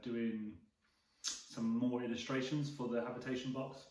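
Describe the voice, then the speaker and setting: Medium-pitched male speech at a moderate pace, fairly even in intonation, with audible room echo. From England, Bristol. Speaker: vlogger, camper truck builder. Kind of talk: casual chat.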